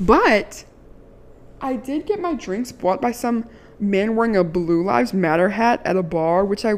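Over noticeable background noise, a woman speaks at a fairly slow pace in a medium pitch, her tone animated and her intonation lively. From Maryland. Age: 20s. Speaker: podcast host. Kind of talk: casual monologue.

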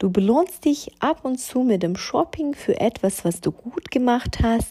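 A woman talks at a fairly slow pace in a dark, mellow tone, her pitch swinging very widely. The recording is very clean, with a silent background. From Ukraine. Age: 30s. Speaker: fashion stylist and podcaster. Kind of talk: solo podcast monologue.

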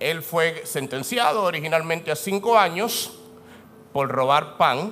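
This man has a fairly high pitch and a bright, sharp tone. He sounds animated, with lively intonation. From Dominican Republic. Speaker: pastor. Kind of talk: sermon. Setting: church.

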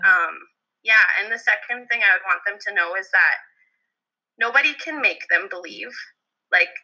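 A woman with a Canadian Prairies accent speaks at a moderate pace. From Alberta, Canada. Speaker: elementary school teacher. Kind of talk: casual chat.

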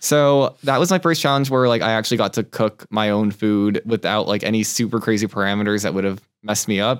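Speech comes at a fairly quick pace in a Californian accent, with very even loudness. The recording is very clean, with a silent background. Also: man, fairly low pitch for a man, ordinary pitch variation. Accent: Californian American English. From Southern California (Torrance). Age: 20s. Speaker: cooking competition contestant. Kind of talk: casual interview chat.

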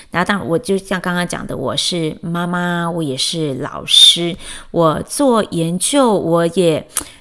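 A woman's fairly low voice at a very slow pace, with ordinary pitch variation and noticeable background noise. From Taiwan, Chiayi. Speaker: podcast host, educator and mother. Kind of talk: personal monologue. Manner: hesitant, many fillers.

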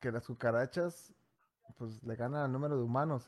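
A man speaks with an animated tone on a very clean recording with a silent background. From Mexico, Durango. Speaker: podcast host. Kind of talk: casual chat.

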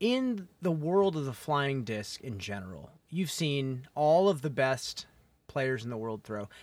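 This is an unremarkable speaking voice, a man at medium pitch talking at a fairly slow pace. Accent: American. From US Midwest. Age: 30s. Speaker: podcast host and disc golfer. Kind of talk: casual interview chat. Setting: in person, on mics at tournament.

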